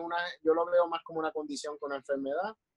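A man's voice with a high pitch. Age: 30s. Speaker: children's clown. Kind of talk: casual chat.

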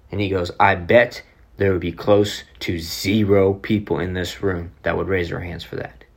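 A man with an American accent speaks at a very deep, low pitch, somewhat breathy, with fairly even intonation. The recording is very clean with a silent background. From Oklahoma City, US. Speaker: podcast host, motivational speaker. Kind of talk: motivational talk.

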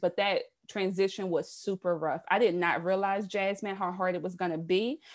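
A woman with an American accent has an unremarkable speaking voice at a medium pitch with fairly even intonation. She talks fairly quickly with hardly any pauses over a quiet background. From US South, South Carolina. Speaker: entrepreneur, podcast host. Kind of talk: interview.

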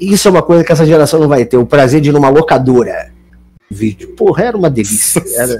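A man speaks at a very fast pace with a fairly high pitch. Noticeable background noise runs underneath. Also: lively intonation. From Niterói, Rio de Janeiro state, Brazil. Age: 30s. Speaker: comedic actor. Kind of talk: casual chat.

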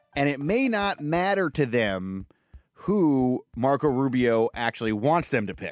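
Speaking at a fairly slow pace, this man has a fairly high pitch. His pitch swings are very wide. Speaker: podcast host and political reporter. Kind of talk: casual political podcast chat. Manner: casual, joking, laughs often.

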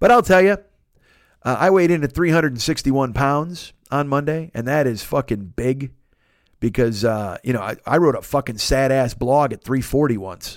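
A man with a plain, everyday voice speaks at a fairly high pitch and a fairly slow pace, with lively intonation. The recording is very clean with a silent background. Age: 40s. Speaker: podcaster. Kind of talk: casual solo podcast monologue. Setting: home studio alone. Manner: rambling, profane, jokey.

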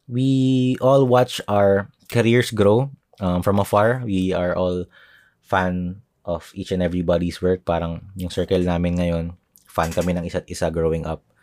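A man with a Filipino accent, very deep and low in pitch, at a moderate pace with ordinary pitch variation, on a very clean recording with a silent background. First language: Tagalog. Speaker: artist and podcaster. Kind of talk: solo podcast monologue.

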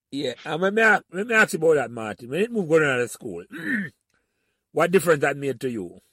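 Speaking with a Jamaican accent, a man talks at a fairly quick pace in a fairly high voice with very wide pitch swings and long, frequent pauses. The sound is dry and close with no echo, on a very clean recording with a silent background. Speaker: podcast host. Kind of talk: casual conversation, interview.

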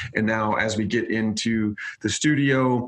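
Noticeable background noise sits behind a man's voice. He speaks at a medium pitch in a monotone, flat delivery. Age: 30s. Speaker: media company owner. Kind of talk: interview.

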